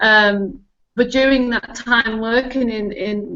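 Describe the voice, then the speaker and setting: A woman with a strong northern English accent speaks at a medium pitch. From northern England. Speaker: technology consultant and spiritual guide. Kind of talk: casual interview chat.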